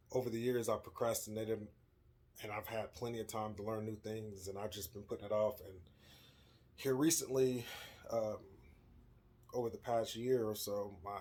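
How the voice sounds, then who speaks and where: A mumbling man at a moderate pace, fairly low in pitch, with monotone, flat intonation. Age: 30s. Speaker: vlogger. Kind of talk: casual vlog monologue. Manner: mumbles over words; hesitant, many fillers.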